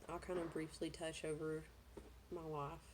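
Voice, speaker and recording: A woman with a Southern US accent speaks at a fairly low pitch in a dark, mellow tone. Audible room echo surrounds her voice. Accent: Southern US, noticeable. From US South, Georgia. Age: 30s. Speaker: vlogger. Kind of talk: personal vlog, life story. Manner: hesitant, many fillers.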